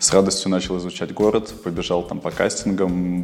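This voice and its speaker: A man speaks in a very deep, low voice. Noticeable noise sits in the background. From Kyrgyzstan. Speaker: fashion model and clothing designer. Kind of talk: interview.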